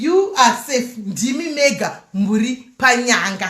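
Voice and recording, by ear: A woman speaks with lively intonation and fairly high pitch. Her tone is bright and sharp.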